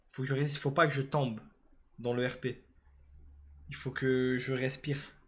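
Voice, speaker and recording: With monotone, flat intonation and a somewhat breathy sound, a man talks at a moderate pace and medium pitch. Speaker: live streamer. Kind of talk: casual live stream chat.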